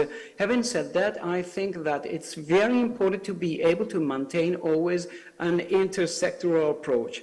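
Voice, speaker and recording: A man talks at a moderate pace with ordinary pitch variation. Noticeable background noise runs through the clip. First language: Italian. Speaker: civil society speaker. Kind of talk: panel talk. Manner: halting, many fillers.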